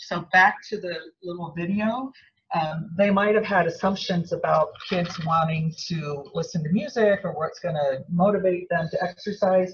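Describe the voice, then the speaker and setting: A woman speaks at a moderate pace in an ordinary speaking voice. Her pitch is medium, with ordinary pitch variation. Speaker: seminar speaker. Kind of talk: lecture. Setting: seminar room with audience.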